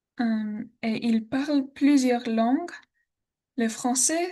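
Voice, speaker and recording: A woman with an American accent speaks very slowly in a high pitch with ordinary pitch variation. Her tone is dark and mellow, and the background is quiet. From Texas, Austin. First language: English (speaking French). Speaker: language student. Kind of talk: class presentation. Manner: halting, many hesitations.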